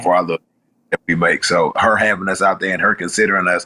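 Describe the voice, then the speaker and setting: This is a man's voice. He speaks with a Houston accent. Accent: Southern US, Houston. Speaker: rapper. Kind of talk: interview answer.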